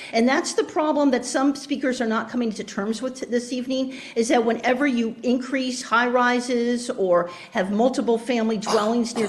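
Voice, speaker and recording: Noticeable background noise sits behind a woman's high-pitched voice. She speaks at a moderate pace. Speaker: public commenter, professor. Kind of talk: public comment. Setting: joining meeting online. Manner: loud, projecting from diaphragm.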